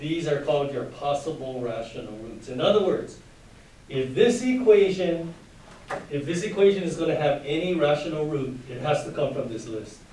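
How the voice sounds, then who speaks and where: A man with a fairly high pitch and lively intonation at a moderate pace, big swings in loudness, audible room echo and noticeable background noise. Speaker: high school math teacher. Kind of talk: lecture.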